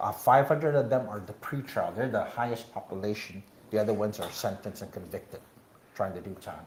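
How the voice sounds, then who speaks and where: A man with a fairly low pitch talks at a fairly quick pace, his voice somewhat breathy. His pitch varies in an ordinary way while his loudness swings widely. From Guam. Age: 60s. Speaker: political candidate. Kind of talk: interview. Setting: live show at a bar venue. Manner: halting, many fillers.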